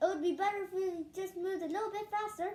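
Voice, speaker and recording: In a squeaky, put-on character voice, a woman speaks very fast at an extremely high pitch with monotone, flat intonation. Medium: read story. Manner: theatrical archaic cursing.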